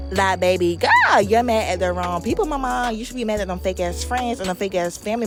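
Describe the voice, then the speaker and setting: A woman speaks with music in the background. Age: 20s. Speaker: makeup artist. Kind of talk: tutorial. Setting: voiceover. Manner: animated.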